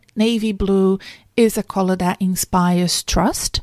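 Very slow speech in a Brazilian accent with ordinary pitch variation, dry and close with no echo, on a very clean recording with a silent background. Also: woman. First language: Portuguese. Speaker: career coach and podcast host. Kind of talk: solo podcast monologue.

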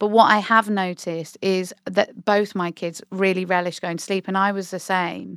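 Speaking with a British accent at medium pitch, a woman keeps a monotone, flat intonation and a moderate pace with hardly any pauses, in a dry, close sound with no echo on a very clean recording with a silent background. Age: 40s. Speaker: psychotherapist and podcast co-host. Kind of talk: casual chat. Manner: laughs often.

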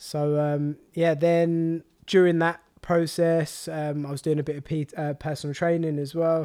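On a very clean recording with a silent background, a voice with a London accent and a dark, mellow tone speaks at a fairly slow pace in a monotone, flat intonation. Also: man, fairly high pitch for a man. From London (Walthamstow), England. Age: 20s. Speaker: meal prep business founder. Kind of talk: casual interview.

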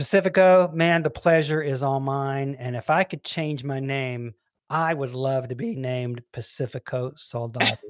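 In a Southern US accent, a man with a fairly high pitch speaks at a moderate pace, the sound dry and close with no echo. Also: ordinary pitch variation, very clean recording, silent background. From US South (Alabama, then Memphis, Tennessee). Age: 60s. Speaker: songwriter and music executive. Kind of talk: casual interview chat.

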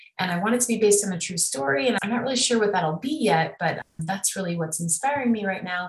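Over noticeable background noise, a woman with an American accent talks at a very fast pace, her medium pitch carried by lively intonation. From US Midwest, Chicago area. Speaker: film director and producer. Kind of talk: casual interview.

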